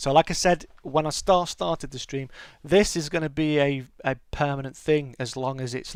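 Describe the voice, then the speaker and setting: Speaking with a British accent, a man keeps a moderate pace. The recording is very clean, with a silent background. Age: 40s. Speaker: gaming streamer. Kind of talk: casual chat. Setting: live stream. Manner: halting.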